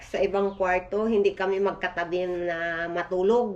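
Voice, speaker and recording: This woman speaks at a fairly slow pace in a monotone, flat intonation. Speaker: family vlogger. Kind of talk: casual vlog. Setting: outdoors on porch. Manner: soft-spoken.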